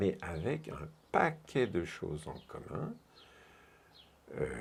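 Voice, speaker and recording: A man speaks in a very deep, low pitch with a dark, mellow tone. His voice has vocal fry and very wide pitch swings. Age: 70s. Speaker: retired workshop speaker at an osteopathy meeting. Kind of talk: interview. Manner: animated.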